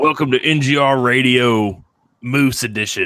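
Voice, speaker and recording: A put-on character voice from a man, medium in pitch, at a moderate pace. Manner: put-on imitation.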